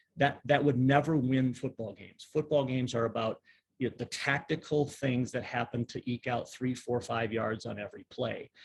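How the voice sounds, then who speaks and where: Somewhat breathy and medium in pitch, a man speaks at a moderate pace with fairly even intonation and big swings in loudness. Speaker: pastor and leadership strategist. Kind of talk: online workshop presentation. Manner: conversational, with many fillers.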